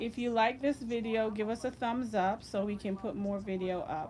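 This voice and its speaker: A soft-spoken woman with a dark, mellow tone, ordinary pitch variation and a fairly slow pace. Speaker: loctician. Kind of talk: tutorial.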